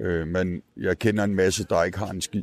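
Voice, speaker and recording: A man with a very deep, low pitch and fairly even intonation. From rural Denmark. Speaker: street newspaper vendor. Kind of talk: casual interview. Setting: outdoors at a Christmas market. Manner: halting.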